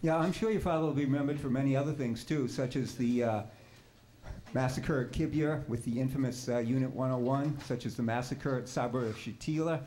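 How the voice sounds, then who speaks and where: In a room with audible echo, a man with a dark, mellow tone speaks fairly quickly at a medium pitch, his intonation fairly even and his loudness very even. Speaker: audience member. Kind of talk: heated debate. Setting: in audience, away from the microphone. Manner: fast.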